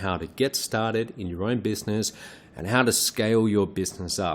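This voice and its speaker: This man talks with an Australian accent. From Australia, Perth. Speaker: online business trainer. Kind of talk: webinar presentation. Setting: live webinar.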